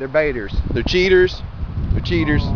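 The background noise is loud. A man's voice comes through dry, with no echo. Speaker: gun owner vlogger. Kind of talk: casual vlog chat. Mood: joking, relaxed. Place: open country. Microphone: phone near.

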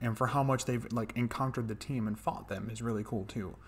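Very fast-paced speech from a man. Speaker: show reviewer. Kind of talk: casual episode review commentary. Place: home room. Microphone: studio mic.

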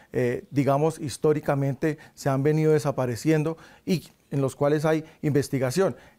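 Against a quiet background, a man talks in a fairly high pitch with a dark, mellow tone. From Sogamoso, Boyacá, Colombia. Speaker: university delegate. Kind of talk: interview. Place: studio. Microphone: lapel.

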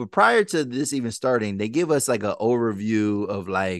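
A man talks at a moderate pace with ordinary pitch variation, his sound dry with no echo against a quiet background. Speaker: podcast host. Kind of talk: casual podcast recap chat. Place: studio. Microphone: studio mic.

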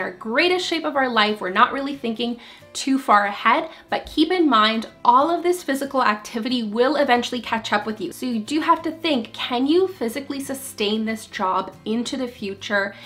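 A woman with a high pitch speaks with lively intonation. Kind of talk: casual vlog chat. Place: home room.

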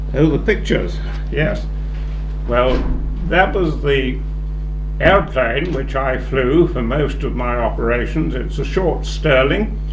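There is noticeable background noise as a man speaks. He goes very slowly, with long, frequent pauses. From United Kingdom. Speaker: war veteran; retired air force officer. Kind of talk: interview answer. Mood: calm, reflective. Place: classroom. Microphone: handheld.

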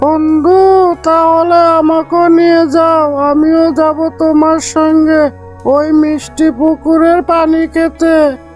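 A cartoonish character voice speaks at a high pitch with monotone, flat intonation. The pace is very slow, and clear music plays in the background.

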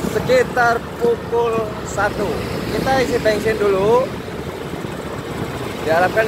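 A man's voice, dry with no echo, against loud background noise. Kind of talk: casual vlog chat. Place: motorbike. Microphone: phone near.

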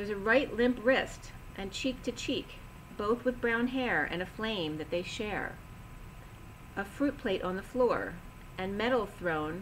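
Speaking at a fairly slow pace, a woman leaves long, frequent pauses against light background noise. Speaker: tarot or intuitive reader. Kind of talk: intuitive reading monologue. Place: home room. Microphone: webcam.

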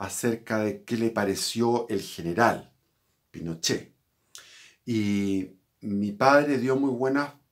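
Talking at a very slow pace against a quiet background, a man uses ordinary pitch variation. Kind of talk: personal historical account. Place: home room. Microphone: phone near.

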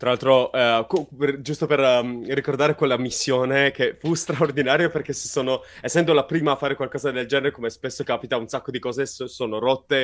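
A plain, everyday voice moving at a fairly quick pace with fairly even intonation. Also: man, fairly high pitch for a man. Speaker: science communicator. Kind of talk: live interview. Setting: live stream.

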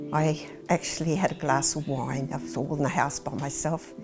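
A woman speaks at a moderate pace with an Australian accent. Clear music plays in the background. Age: 70s. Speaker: farmer and wearable artist; interviewee. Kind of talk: documentary interview. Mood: warm, candid. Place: home room. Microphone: lapel.

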